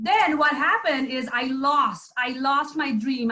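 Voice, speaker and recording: A woman's raised, projected voice at a high pitch. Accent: Nepali. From Nepal. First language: Nepali. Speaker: entrepreneur, former IT director. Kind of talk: testimony.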